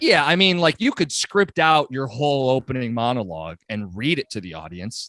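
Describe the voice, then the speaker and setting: In a dry, close recording with no echo, a man speaks in an American accent at medium pitch with a bright, sharp tone, very wide pitch swings, big swings in loudness, hardly any pauses and a moderate pace. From Michigan, metro Detroit. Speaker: sports radio host. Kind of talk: podcast interview.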